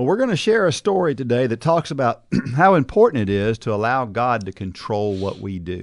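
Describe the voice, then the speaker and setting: A man with a Southern US accent talks at a fairly quick pace, his pitch swinging very widely. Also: medium pitch for a man. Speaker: podcast host. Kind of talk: casual chat.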